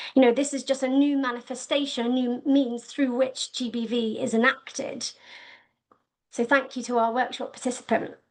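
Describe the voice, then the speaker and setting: A woman speaks in a high, monotone voice with flat intonation against a quiet background. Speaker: research manager presenting at a webinar. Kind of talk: webinar presentation. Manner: fast.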